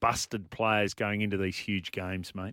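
At a fairly slow pace, someone speaks with an Australian accent, the sound dry and close with no echo and the recording very clean over a silent background. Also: man. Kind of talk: sports radio talk. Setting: radio studio.

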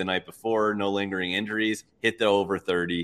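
In an ordinary speaking voice, a man talks at a moderate pace with fairly low pitch and fairly even intonation. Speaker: sports bettor guest. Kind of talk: live sports betting chat. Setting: live stream.

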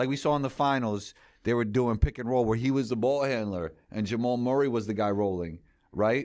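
Speaking with a New York accent, a man talks at a moderate pace and a medium pitch. His pitch varies in an ordinary way, and the recording is very clean with a silent background. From New York City. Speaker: sports content creator and show host. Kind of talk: casual interview.

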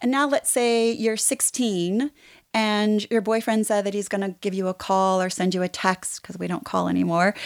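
In a very clean recording with a silent background and a dry, close sound with no echo, a woman uses a normal speaking voice at medium pitch, with ordinary pitch variation and a moderate pace. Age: 50s. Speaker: therapist. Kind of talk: casual chat.

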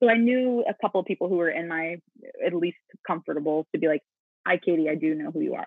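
Very fast female speech at a fairly low pitch, with an American accent and ordinary pitch variation. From US South, Mississippi. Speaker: musical theater actress. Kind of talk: casual interview.

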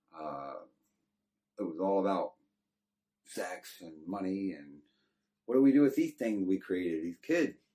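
This man has a very deep, low pitch and a dark, mellow tone. He speaks at a moderate pace with a Texan accent. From Texas. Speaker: former prisoner telling life story. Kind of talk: testimony.

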